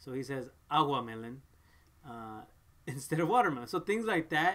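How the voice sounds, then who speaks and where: With a Spanish accent and lively intonation, a man with a fairly high pitch talks at a moderate pace, his loudness swinging widely. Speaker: parent vlogger. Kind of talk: casual chat. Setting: live stream.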